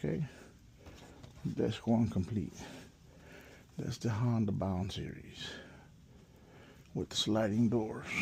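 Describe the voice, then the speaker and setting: Quiet and very slow, a man speaks in a fairly low pitch with a dark, mellow tone and vocal fry, ordinary pitch variation, big swings in loudness, and long, frequent pauses. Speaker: office furniture installer. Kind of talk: POV work walkthrough. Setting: on-site office with people working. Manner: speaking low, quiet; casual, halting.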